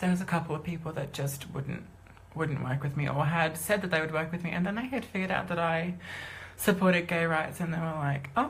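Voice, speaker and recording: A woman talks at a fairly quick pace with a fairly low pitch, ordinary pitch variation and a somewhat breathy quality. Audible room echo surrounds her voice. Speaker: singer and musician coming out as transgender. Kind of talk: live stream personal announcement. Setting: live video stream. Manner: fast; halting. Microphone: low quality video.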